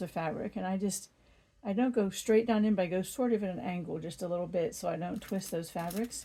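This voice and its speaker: A woman's somewhat breathy, dark and mellow voice at medium pitch, with ordinary pitch variation and a fairly quick pace. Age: 60s. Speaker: quilting YouTuber. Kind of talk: tutorial.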